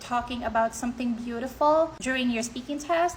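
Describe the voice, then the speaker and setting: Using a high pitch and fairly even intonation, a woman speaks in a Filipino accent. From Philippines. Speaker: IELTS tutor / content creator. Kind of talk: tutorial. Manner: casual, conversational.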